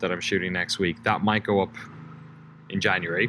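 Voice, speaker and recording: A man speaks in a bright, sharp tone. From Ireland. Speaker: documentary filmmaker, video creator. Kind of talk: casual update vlog. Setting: at parents' house in Ireland. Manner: chatty, hesitant with fillers.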